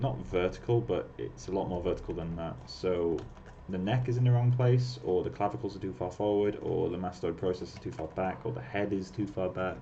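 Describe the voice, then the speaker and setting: With audible room echo around him, a man speaks at a moderate pace in a very deep, low pitch with lively intonation. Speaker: 3D artist livestreaming sculpting. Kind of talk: casual chat while working, livestream.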